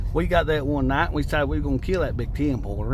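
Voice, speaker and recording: Amid noticeable background noise and audible room echo, a man with an Appalachian accent talks at a very fast pace. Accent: Appalachian mountain. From Appalachian Kentucky, Wayne County. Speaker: outdoors vlogger. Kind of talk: casual storytelling vlog.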